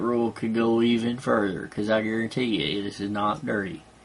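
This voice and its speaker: At a moderate pace, a man with a Southern US accent speaks at a medium pitch. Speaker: vlogger. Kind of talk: casual monologue.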